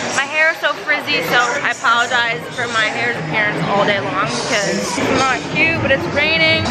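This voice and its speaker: A woman at a moderate pace over music in the background. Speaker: theme park vlogger. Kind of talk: casual vlog chat. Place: street. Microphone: phone near.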